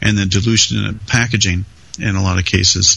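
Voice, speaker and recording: Noticeable background noise surrounds this man. His intonation stays fairly even. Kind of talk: casual banter and technical discussion.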